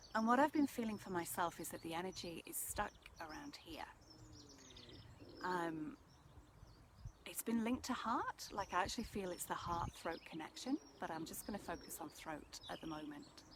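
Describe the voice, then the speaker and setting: Soft-spoken and calm in tone, a woman talks at a moderate pace with long, frequent pauses, a medium pitch with very wide swings, and big swings in loudness over noticeable background noise. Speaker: energy healer / meditation guide. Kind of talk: soft-spoken ASMR energy transmission talk to camera. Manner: soft-spoken, calm.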